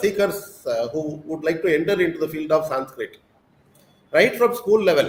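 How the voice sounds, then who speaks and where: A man with a Tamil accent, speaking at a moderate pace. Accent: Tamil-accented Indian English. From South India, Tamil Nadu. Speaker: school principal. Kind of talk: interview. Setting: live online session.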